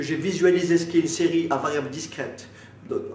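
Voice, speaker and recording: Noticeable background noise and audible room echo fill the recording. A man talks at a moderate pace with ordinary pitch variation. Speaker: math teacher. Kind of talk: lecture. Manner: halting.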